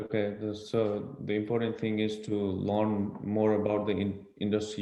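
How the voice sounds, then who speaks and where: Audible room echo surrounds a man with a fairly low pitch. He speaks at a moderate pace in a monotone, flat intonation. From Nepal. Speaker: college student. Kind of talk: Q&A interview.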